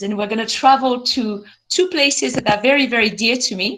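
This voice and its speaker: A woman talks in a high voice with a French accent. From France, French Alps. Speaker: glaciologist. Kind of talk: lecture. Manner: animated.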